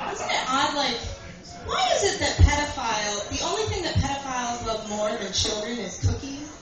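At a moderate pace but with long, frequent pauses, the speech carries audible room echo over noticeable background noise. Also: woman. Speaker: stand-up comedian. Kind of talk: stand-up comedy routine. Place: bar. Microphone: camera far.

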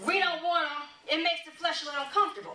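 A woman's raised, projected voice at an extremely high pitch and a very fast pace, with audible room echo and light background noise. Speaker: church elder, preacher / teacher. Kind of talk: sermon-style teaching. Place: church.

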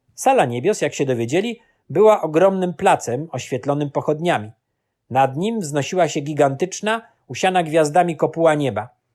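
Very clean recording, silent background, and a normal speaking voice at a moderate pace. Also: man, fairly high pitch for a man. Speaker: audiobook narrator. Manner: measured, solemn, storytelling pace.

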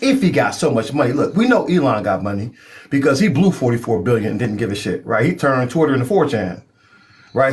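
Playful in tone, a man speaks fairly quickly at a fairly high pitch with very wide pitch swings. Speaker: live stream host. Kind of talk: joking banter; political argument in a live stream. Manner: animated, teasing, loud; playful hype-man style, game-show host mimicry. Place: home room. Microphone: phone near.

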